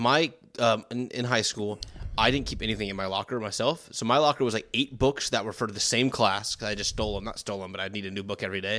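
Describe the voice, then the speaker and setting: Speaking at a very fast pace, a man has a bright, sharp tone and fairly even intonation. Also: fairly low pitch for a man. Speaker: podcast co-host. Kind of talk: casual chat. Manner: joking, chatty.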